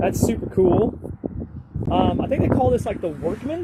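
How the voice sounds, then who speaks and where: A man speaks at a moderate pace with a high pitch. Noticeable background noise runs underneath. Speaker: talk show co-host. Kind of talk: casual vehicle walkaround. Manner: mumbling.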